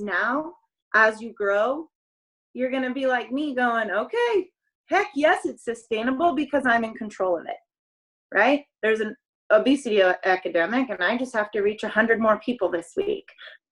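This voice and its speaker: A woman speaks at a moderate pace with lively, animated intonation. Her pitch sits fairly high, and her tone is bright and sharp. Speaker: network marketing coach. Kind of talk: motivational talk on group call. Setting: group call.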